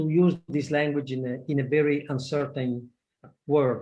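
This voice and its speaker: Here a man speaks with fairly high pitch and a somewhat breathy voice. His pace is fairly slow and his intonation fairly even. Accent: Italian. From Italy. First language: Italian. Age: 60s. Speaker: project management expert. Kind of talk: webinar talk. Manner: halting.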